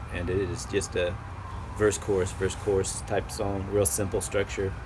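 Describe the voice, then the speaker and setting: A man with an American accent speaks at a moderate pace in a very deep, low pitch, with ordinary pitch variation. Noticeable background noise and audible room echo come through. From US Midwest. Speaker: musician. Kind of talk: casual interview.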